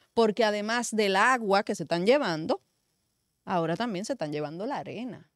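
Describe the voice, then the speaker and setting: At a fairly quick pace, a woman talks with lively intonation in a dry sound with no echo. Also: quiet background. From Dominican Republic. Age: young. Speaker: media commentator. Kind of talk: political talk show discussion. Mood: indignant, argumentative. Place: studio. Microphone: studio mic.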